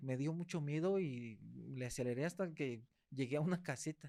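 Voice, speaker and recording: The speaker has a Mexican accent and ordinary pitch variation. The recording is very clean, with a silent background. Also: man, dry, close sound with no echo. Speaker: podcast host. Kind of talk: interview. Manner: fast.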